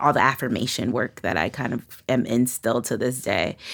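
With a New York accent, a woman talks in a very deep, low voice marked by vocal fry. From Brooklyn, New York. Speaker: musician and rapper. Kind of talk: interview conversation.

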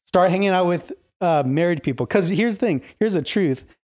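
In a very clean recording with a silent background, a man with a high pitch speaks with lively intonation. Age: 30s. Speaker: church youth minister. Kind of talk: casual chat.

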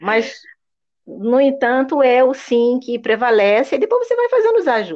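This woman speaks in a high voice at a moderate pace, her intonation lively. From Rio de Janeiro, Niterói. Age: 50s. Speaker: English teacher. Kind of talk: interview.

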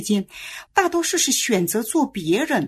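A somewhat breathy woman's voice at a moderate pace, with very wide pitch swings. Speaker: children's educator. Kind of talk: casual chat.

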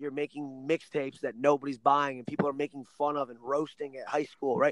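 Fairly high-pitched for a man, this speaker talks fairly quickly in an American accent, with big swings in loudness and a dry, close sound with no echo. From Ohio. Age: 20s. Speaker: wrestling coach. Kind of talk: casual interview. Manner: animated.

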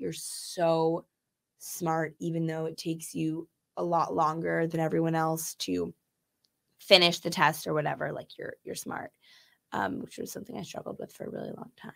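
On a very clean recording with a silent background, a woman talks at a moderate pace in a fairly low voice. Her pitch varies in an ordinary way while her loudness swings widely. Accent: American. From Chicago. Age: 20s. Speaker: podcast guest. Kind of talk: casual chat. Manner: animated.

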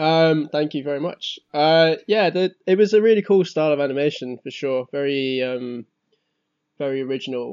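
This man has an ordinary speaking voice, fairly high in pitch. He talks at a moderate pace with ordinary pitch variation. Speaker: podcast co-host. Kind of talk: casual chat.

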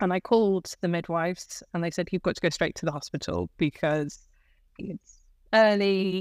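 A woman talks in an unremarkable speaking voice at a fairly low pitch with ordinary pitch variation. The recording is very clean, with a silent background and a dry, close sound with no echo. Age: 30s. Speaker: guest sharing her birth story, wheelchair user with a chronic illness. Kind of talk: interview, personal storytelling.

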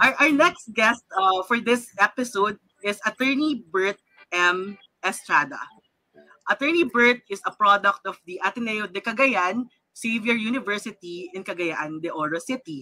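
With a Filipino accent, a woman speaks in a bright, sharp tone with lively intonation and big swings in loudness, the sound dry and close with no echo. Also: medium pitch for a woman, moderate pace. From Philippines. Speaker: lawyer and show host. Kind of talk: live-streamed panel discussion. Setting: live online broadcast.

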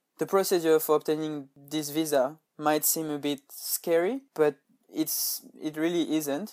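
A man with a French accent, fairly high in pitch, at a fairly slow pace with fairly even intonation. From France. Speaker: podcaster and intern. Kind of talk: tutorial.

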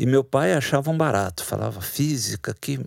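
Heard in a dry, close sound with no echo, a plain, everyday voice moves at a fairly slow pace with lively intonation. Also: man, very clean recording, silent background. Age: 60s. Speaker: writer and literature professor. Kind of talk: interview.

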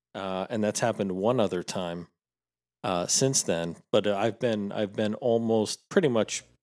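A man with a plain, everyday voice speaks at a fairly low pitch and a fairly slow pace, with ordinary pitch variation. The recording is very clean with a silent background. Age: 40s. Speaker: podcast co-host. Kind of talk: casual chat.

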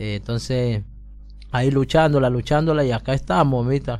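Fairly even intonation from a man at medium pitch, moving at a moderate pace. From Colombia, Pacific coast (Buenaventura). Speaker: migrant guest on community radio. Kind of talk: testimony. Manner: halting.

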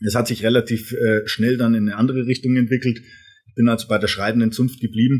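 Speaking very fast in a flat monotone, a man sounds somewhat breathy, his loudness swinging widely. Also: medium pitch for a man. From Franconia, Germany (Erlangen). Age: 30s. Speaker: brand management coach and author. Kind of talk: casual interview. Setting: studio.

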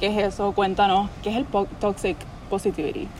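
With a Puerto Rican accent, a woman speaks fairly quickly at a fairly high pitch over noticeable background noise. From Puerto Rico. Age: 20s. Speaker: podcast host. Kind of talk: casual chat. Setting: friend's house.

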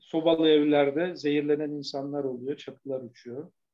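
The man's tone is dark and mellow, set at a fairly high pitch. He talks at a fairly slow pace. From Turkey, Bursa. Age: 70. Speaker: architect and urban commentator. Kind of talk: interview.

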